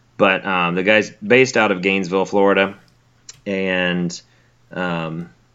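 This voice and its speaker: A man with a very deep, low pitch, fairly even intonation, and a Southern US accent. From Alabama. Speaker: graduate student in wildlife biology, co-host. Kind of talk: casual chat. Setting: remote call over Skype.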